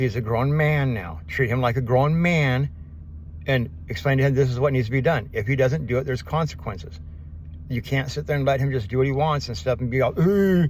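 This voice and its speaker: A man talks at a fairly quick pace with very wide pitch swings. His voice is somewhat breathy. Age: 50s. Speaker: vlogger. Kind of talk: casual vlog monologue. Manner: fast, words blending together.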